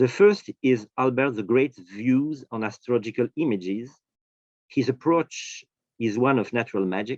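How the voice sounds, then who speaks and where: Recorded dry and close with no echo against a quiet background, the speaker talks at a moderate pace in a French accent with ordinary pitch variation. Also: man. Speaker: professor of history of science. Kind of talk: academic lecture. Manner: halting, many fillers.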